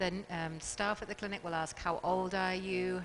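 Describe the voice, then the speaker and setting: A medium-pitched woman's voice at a moderate pace, with ordinary pitch variation. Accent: British. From England. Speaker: fertility clinic doctor. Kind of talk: talk show interview.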